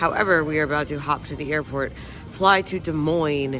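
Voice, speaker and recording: Against music in the background and audible room echo, a man talks at a moderate pace. His pitch is fairly high and his intonation fairly even. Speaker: wrestling vlogger. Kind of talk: casual vlog.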